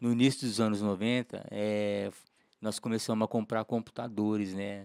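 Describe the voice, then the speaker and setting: A man speaks in an ordinary speaking voice, fairly low in pitch with fairly even intonation, at a moderate pace. The sound is dry and close with no echo, and the recording is very clean over a silent background. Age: 60s. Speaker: lawyer. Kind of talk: casual podcast interview.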